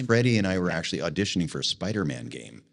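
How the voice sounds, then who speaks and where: A man rattles along at a very fast pace with lively intonation. Vocal fry runs through his voice. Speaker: voice actor. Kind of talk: interview answer.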